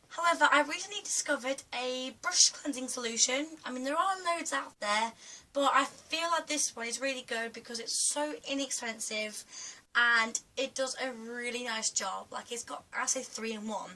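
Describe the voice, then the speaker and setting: A woman's raised, projected voice at a moderate pace, with ordinary pitch variation and noticeable background noise. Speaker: beauty vlogger. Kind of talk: tutorial. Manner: hesitant, many fillers.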